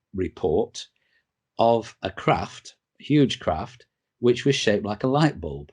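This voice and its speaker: Over a quiet background, a man with a northern English accent talks at a very slow pace with ordinary pitch variation. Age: 60s. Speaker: interviewee on UFO experiences. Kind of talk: interview. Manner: halting, many fillers.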